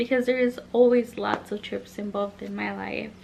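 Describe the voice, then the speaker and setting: This is a woman speaking with a Spanish accent. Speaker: vlogger. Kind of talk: casual chat, story time vlog.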